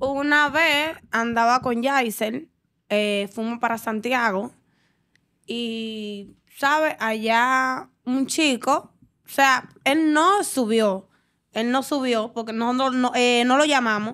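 The tone is bright and sharp, and the pitch varies in an ordinary way. The pace is very slow, over a quiet background. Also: woman, high pitch for a woman. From Dominican Republic. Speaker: dancer; podcast guest. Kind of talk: casual interview. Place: studio. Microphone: studio mic.

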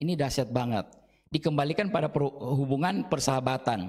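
There is a quiet background behind a man's voice. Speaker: Bible teacher. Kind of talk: Bible study lesson. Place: classroom. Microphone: handheld.

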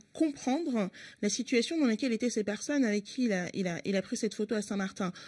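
A woman speaks at a fairly quick pace with a somewhat breathy voice. Her intonation is lively, and the background is quiet. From France, Paris working-class neighbourhoods. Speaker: member of parliament and party spokesperson; party spokesperson. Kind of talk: radio interview. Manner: hesitant, many filler sounds. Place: studio. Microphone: studio mic.

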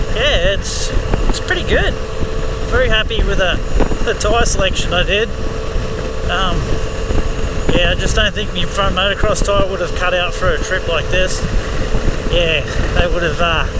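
Long, frequent pauses break up the speech amid loud background noise. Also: moderate pace, dry sound with no echo. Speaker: motorbike vlogger. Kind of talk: casual vlog chat. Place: motorbike. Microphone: helmet.

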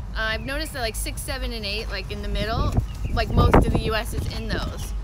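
A woman's voice, dry with no echo, over loud background noise. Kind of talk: tutorial. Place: garden. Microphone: phone near.

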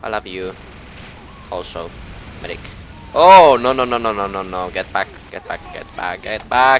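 Against noticeable background noise, a man at a medium pitch talks with long, frequent pauses. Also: lively intonation, moderate pace, big swings in loudness. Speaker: gaming YouTuber. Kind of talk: gameplay commentary. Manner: animated.

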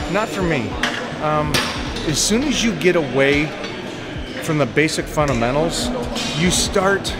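Loud music plays in the background. A man talks at a fairly slow pace. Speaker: fitness coach. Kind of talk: casual vlog chat, advice. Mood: thoughtful, instructive. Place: gym. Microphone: phone near.

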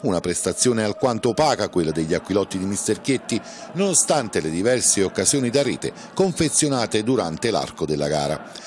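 Pitch swings very widely as the voice moves at a fairly quick pace over noticeable background noise. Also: man, fairly low pitch for a man. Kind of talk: sports commentary, recapping match highlights in a voiceover. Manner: brisk, formal and matter-of-fact, reporting play-by-play.

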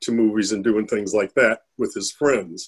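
This is a man's voice. His pitch sits in the medium range. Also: quiet background. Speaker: parent of lupus patient. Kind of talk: panel discussion. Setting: video call webinar. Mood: calm, reflective. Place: home room. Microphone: webcam.

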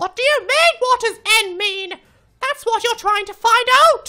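A put-on character voice, female-sounding and extremely high-pitched, at a moderate pace. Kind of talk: comic overacting. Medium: machinima. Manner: exasperated, shouting, swearing.

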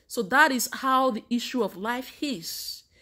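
Against a quiet background, a woman with a Nigerian accent speaks in a high pitch with a warm tone. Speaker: vlogger giving faith advice. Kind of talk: motivational sermon-like talk to camera. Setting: Canada. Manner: warm, preacherly. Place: home room. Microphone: phone near.

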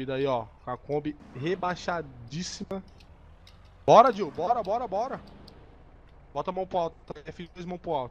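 Lively intonation, big swings in loudness, a fairly slow pace and long, frequent pauses. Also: man, high pitch for a man. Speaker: gaming co-host. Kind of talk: gameplay commentary with roleplay. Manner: animated.

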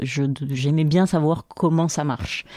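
A woman with a very deep, low pitch and a dark, mellow tone speaks with ordinary pitch variation in a very clean recording with a silent background and a dry, close sound with no echo. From Algeria. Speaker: university lecturer and researcher. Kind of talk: interview. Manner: hesitant with frequent fillers.

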